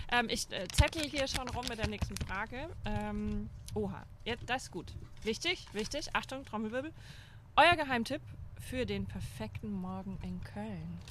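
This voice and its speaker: A woman's fairly slow speech with a slight Franconian accent over noticeable background noise. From Upper Franconia, near Bayreuth. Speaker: former astronaut trainer, speaker. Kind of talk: casual chat.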